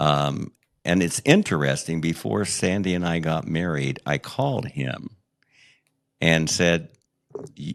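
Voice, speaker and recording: A man with a very deep, low pitch and vocal fry speaks at a fairly slow pace with lively intonation and long, frequent pauses. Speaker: memoir author and podcast host, guest telling life story. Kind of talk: interview testimony. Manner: halting, with fillers and repetitions.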